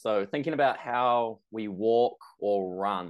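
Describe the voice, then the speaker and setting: Against a quiet background, a man talks with a New Zealand accent. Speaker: personal trainer. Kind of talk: interview.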